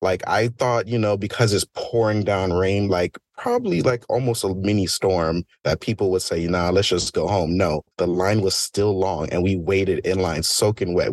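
This man has an ordinary speaking voice, fairly low in pitch, with fairly even intonation at a moderate pace, and the sound is dry and close with no echo. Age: 20s. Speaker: rave enthusiast. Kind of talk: casual chat.

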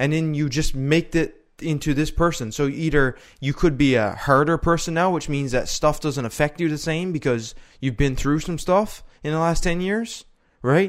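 In a very clean recording with a silent background, a man talks at a moderate pace with ordinary pitch variation in an ordinary speaking voice. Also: fairly high pitch for a man. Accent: Canadian. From Canada. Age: 20s. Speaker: podcast co-host. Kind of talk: casual chat.

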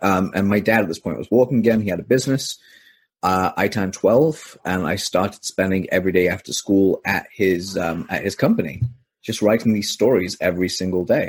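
An unremarkable speaking voice from a man, fairly low in pitch, moves at a fairly quick pace with ordinary pitch variation on a very clean recording with a silent background. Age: 20s. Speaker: copywriter. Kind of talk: interview.

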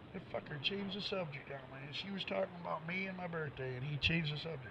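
This man talks at a very fast pace, his pitch fairly high with ordinary variation. Noticeable background noise is present. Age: 40s. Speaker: radio show host. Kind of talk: casual call-in show chat.

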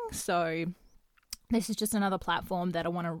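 The voice carries an Australian accent. It comes from a very clean recording with a silent background. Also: woman. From Western Australia. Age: 20s. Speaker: podcast host and YouTuber. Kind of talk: casual solo monologue. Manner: hesitant, many fillers.

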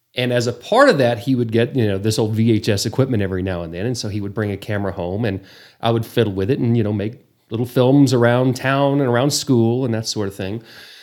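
A man with a medium pitch talks very fast. His pitch varies in an ordinary way, and the recording is very clean with a silent background. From Texas Panhandle, Borger. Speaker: travel show host, former news anchor. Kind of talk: casual interview.

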